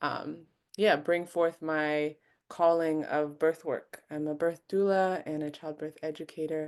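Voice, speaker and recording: In a Mid-Atlantic American accent, a woman speaks with a very deep, low pitch and monotone, flat intonation. Her pace is fairly slow, and the background is quiet. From US, Maryland. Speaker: doula and childbirth educator. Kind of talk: webinar conversation.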